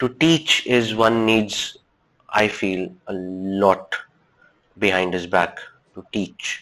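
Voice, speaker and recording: In a Pakistani accent, a man with a fairly low, bright, sharp voice speaks at a very slow pace with long, frequent pauses. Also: ordinary pitch variation, big swings in loudness. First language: Urdu. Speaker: reflexologist. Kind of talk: podcast interview.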